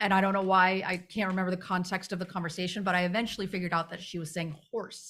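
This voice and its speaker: Talking very fast with hardly any pauses, a woman with a Midwestern accent keeps a monotone, flat intonation in a very clean recording with a silent background. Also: medium pitch for a woman. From US Midwest. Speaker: livestream co-host. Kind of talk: casual chat.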